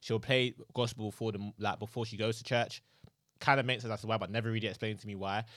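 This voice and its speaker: A man of medium pitch talks very fast in a very clean recording with a silent background. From London, England, with years in Nigeria. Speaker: podcast co-host. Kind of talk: casual chat. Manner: animated.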